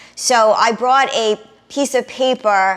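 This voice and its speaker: A woman with a New York accent speaks in an animated tone. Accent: noticeable New York. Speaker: travel vlogger. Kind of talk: casual tutorial.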